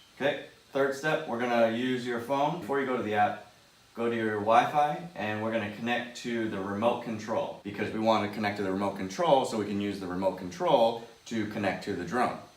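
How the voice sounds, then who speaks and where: Amid noticeable background noise and audible room echo, a man with a medium pitch and ordinary pitch variation talks at a fairly quick pace. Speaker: vlogger. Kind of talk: casual tutorial vlog. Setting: indoors at home. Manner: fast.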